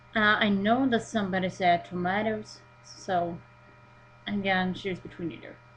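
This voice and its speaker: Speaking in a Swedish accent, a woman uses a medium pitch and a moderate pace, with ordinary pitch variation and big swings in loudness. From Sweden. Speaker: vlogger. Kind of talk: reading a word list aloud; casual webcam vlog.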